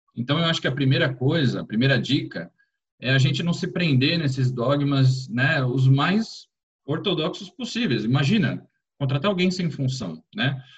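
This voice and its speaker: With lively intonation and a somewhat breathy voice, a man talks at a moderate speed, his pitch fairly high. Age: 40s. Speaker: HR executive at a fintech. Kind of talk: interview conversation.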